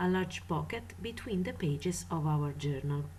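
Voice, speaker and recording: A woman with vocal fry speaks at a fairly slow pace, and audible room echo surrounds her voice. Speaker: craft tutorial maker. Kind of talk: tutorial.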